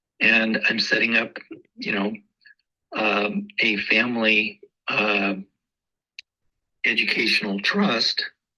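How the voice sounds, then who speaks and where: The pace is very slow, broken by long, frequent pauses. A man is speaking. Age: 60s. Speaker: real estate agent. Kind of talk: casual interview chat. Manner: hesitant, many fillers.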